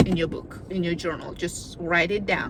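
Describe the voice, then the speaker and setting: A woman speaks with a non-native accent. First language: not English. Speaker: video diarist. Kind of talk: casual vlog monologue. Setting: in a car. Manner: conversational, slightly halting.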